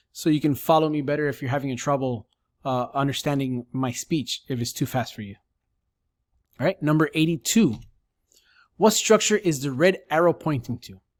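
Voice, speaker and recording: A man's fairly high voice, dry and close with no echo, long and frequent pauses, ordinary pitch variation, big swings in loudness, and a very clean recording over a silent background. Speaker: sonography educator. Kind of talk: tutorial. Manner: fast.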